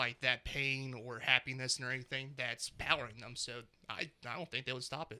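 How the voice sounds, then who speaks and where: A man speaks in a bright, sharp tone at a moderate pace. His intonation is monotone and flat. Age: 30s. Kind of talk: casual chat.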